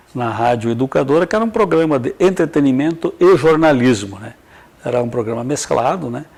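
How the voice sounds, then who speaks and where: A man at a fairly high pitch and fairly quick pace, with lively intonation, big swings in loudness and noticeable background noise. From southwestern Paraná, Brazil (Capanema). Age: 60s. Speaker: radio and TV broadcaster. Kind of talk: interview.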